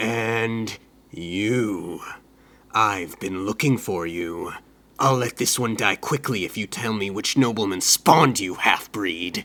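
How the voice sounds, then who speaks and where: A man growls in a put-on character voice at a fairly low pitch. He speaks at a fairly slow pace. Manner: menacing.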